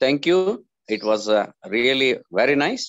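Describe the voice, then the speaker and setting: Over a quiet background, a man with an Indian accent speaks at a very slow pace. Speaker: college staff giving vote of thanks. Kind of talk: vote of thanks. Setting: video call. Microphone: video call.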